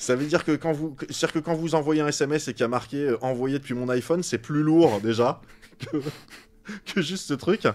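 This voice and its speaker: Fairly quick delivery from a man, pitched fairly high, with ordinary pitch variation. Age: 40s. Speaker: science YouTuber. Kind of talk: casual interview chat. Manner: animated.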